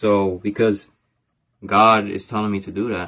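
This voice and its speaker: On a very clean recording with a silent background, a man talks in a fairly low pitch with monotone, flat intonation. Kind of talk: personal vlog monologue. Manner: halting, stuttering.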